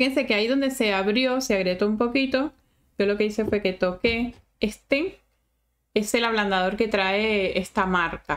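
Speaking at a moderate pace, a woman keeps her loudness very even and her pitch variation ordinary. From Venezuela. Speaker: sculpting teacher. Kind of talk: live-stream tutorial. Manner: chatty, warm. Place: home room.

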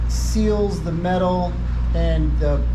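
Over noticeable background noise, a man speaks with a very deep, low pitch and monotone, flat intonation. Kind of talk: tutorial. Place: garage. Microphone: phone near.

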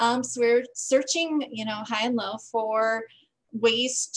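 An ordinary speaking voice from a woman with an American accent, fairly high in pitch, with fairly even intonation, a fairly slow pace and a quiet background. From Green Bay, Wisconsin; Wisconsin. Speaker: voting advocacy group organizer; presenter. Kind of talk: presentation. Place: home room. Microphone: video call.

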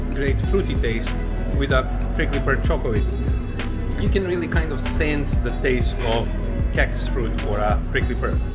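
Loud music plays in the background as a man talks at a moderate pace with long, frequent pauses. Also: ordinary pitch variation. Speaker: travel vlogger. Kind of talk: casual vlog chat. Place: shop. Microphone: phone near.

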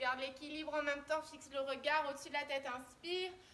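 Over light background noise, a high-pitched woman with a bright, sharp tone speaks at a moderate pace in a monotone, flat intonation. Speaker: fitness instructor. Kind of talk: workout instruction. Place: garden. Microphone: camera far.

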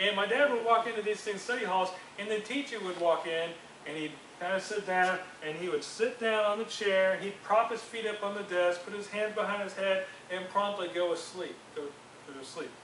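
A man speaks fairly quickly at a high pitch. Audible room echo and light background noise accompany him. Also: ordinary pitch variation. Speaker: youth group teacher. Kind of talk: sermon. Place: classroom. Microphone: camera far.

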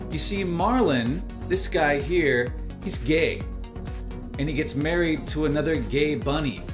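A man talks at a fairly slow pace with clear music in the background. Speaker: professional voice actor. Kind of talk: casual intro to camera. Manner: playful, humorous. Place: home room. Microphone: webcam.

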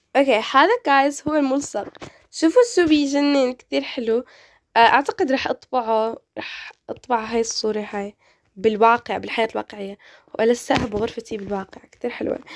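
With an animated tone and ordinary pitch variation, a woman talks at a moderate pace in a high pitch, the sound dry and close with no echo on a very clean recording over a silent background. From Morocco. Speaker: gaming youtuber. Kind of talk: casual gameplay commentary.

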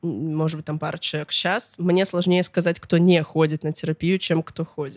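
Hardly pausing, a woman speaks at a fairly low pitch with fairly even intonation, the sound dry with no echo and the background quiet. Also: moderate pace. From Russia, Chita (Siberia); Russia. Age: 20s. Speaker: musician, blogger and festival organizer; blogger. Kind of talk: casual interview chat. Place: studio. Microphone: studio mic.

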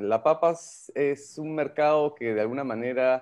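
The background stays quiet. A man talks at a moderate pace, his pitch varying in an ordinary way. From Peru. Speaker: entrepreneur, vodka producer. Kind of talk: radio interview. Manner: hesitant, many fillers. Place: home room. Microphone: video call.

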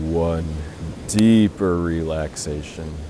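A man's voice against noticeable background noise. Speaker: meditation guide. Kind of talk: guided meditation. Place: beach.

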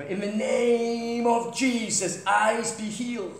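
A booming, put-on character voice with a fairly high pitch speaks at a fairly slow pace, with a clear echo around it. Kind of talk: loud crusade style. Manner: booming, commanding.

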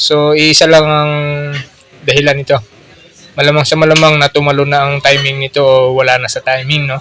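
A man with a fairly high pitch talks at a fairly quick pace in a monotone, flat intonation. Noticeable background noise sits behind him. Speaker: motorcycle mechanic. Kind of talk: repair tutorial. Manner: casual, filler-heavy.

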